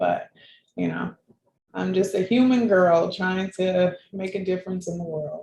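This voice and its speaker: A plain, everyday voice comes through with fairly even intonation. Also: woman, medium pitch for a woman, fairly slow pace. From Florida, US South. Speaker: patient advocate and scholar. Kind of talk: interview. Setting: video call.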